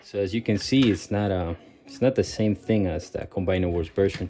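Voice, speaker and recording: A man's fairly low voice with a non-native accent, fairly even intonation and a moderate pace, with music in the background. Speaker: toy collector reviewer. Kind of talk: product review. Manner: hesitant with many fillers; casual.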